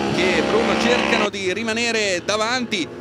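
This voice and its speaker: A man speaks in an animated, excited tone. Music plays in the background. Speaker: race commentator. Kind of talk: live race commentary, highlights voiceover. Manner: animated, fast, excited, rising intensity at key overtakes; urgent, breathless play-by-play.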